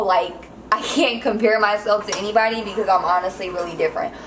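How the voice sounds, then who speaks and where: Noticeable background noise sits behind a woman with an American accent and a fairly high pitch. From Los Angeles, California. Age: 20s. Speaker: vlogger, military veteran and mother. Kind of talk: casual cooking vlog chat.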